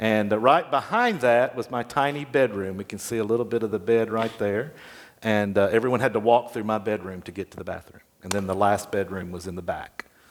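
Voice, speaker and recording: On a very clean recording with a silent background, a man with a fairly low pitch speaks at a fairly quick pace, his loudness swinging widely. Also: ordinary pitch variation. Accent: Tennessee. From US South. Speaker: memoir author. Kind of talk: interview. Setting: stage with audience.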